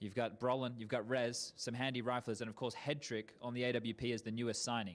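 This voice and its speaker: Very fast speech comes from a man with an Australian accent. His pitch is medium. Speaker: esports host/interviewer. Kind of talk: esports interviews.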